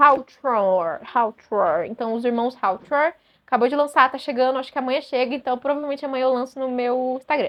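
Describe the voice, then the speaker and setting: With a Brazilian accent, a woman talks at a fairly quick pace in an animated tone and a high pitch. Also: ordinary pitch variation. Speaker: booktuber. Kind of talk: casual chat. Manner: fast.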